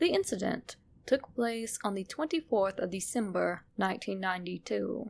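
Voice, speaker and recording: Vocal fry in a woman's medium-pitched voice. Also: moderate pace. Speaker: narrator. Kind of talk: horror story narration. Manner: sinister.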